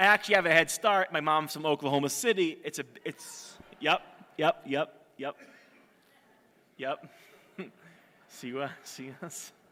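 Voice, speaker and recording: A man with an American accent speaks at a fairly slow pace with long, frequent pauses. His fairly high voice has a bright, sharp tone and ordinary pitch variation. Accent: American-sounding English. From Israel. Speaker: storyteller giving a talk to an audience. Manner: hesitant, searches for words at times.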